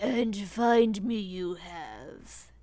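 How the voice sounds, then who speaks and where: A put-on character voice with ordinary pitch variation. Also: woman, medium pitch for a woman. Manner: harsh.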